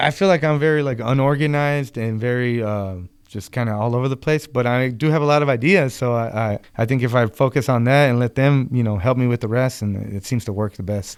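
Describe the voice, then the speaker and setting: This man's voice sits at a medium pitch and moves at a fairly quick pace. Its pitch varies in an ordinary way. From Arizona, USA. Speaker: songwriter, lead vocalist and guitarist. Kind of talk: interview answer. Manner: casual, hesitant.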